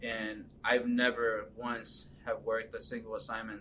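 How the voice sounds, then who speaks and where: This is a man speaking. He has a Californian accent. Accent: Californian American English. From Los Angeles, US (moved from Mexico as a child). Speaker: photojournalist. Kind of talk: interview. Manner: halting, many fillers and repeats.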